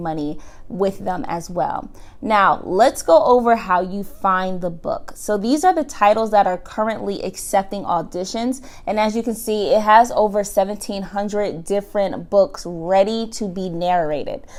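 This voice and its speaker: An American-accented woman at a medium pitch and moderate pace, with ordinary pitch variation, in a very clean recording with a silent background. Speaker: online business tutorial host. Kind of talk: tutorial.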